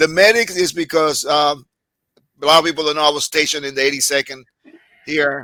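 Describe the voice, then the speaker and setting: A man with a Puerto Rican accent talks at a very fast pace in a fairly high pitch, his tone bright and sharp and his intonation fairly even. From Puerto Rico. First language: Spanish. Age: 60s. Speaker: army veteran, former medic. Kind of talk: casual interview. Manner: halting, many fillers.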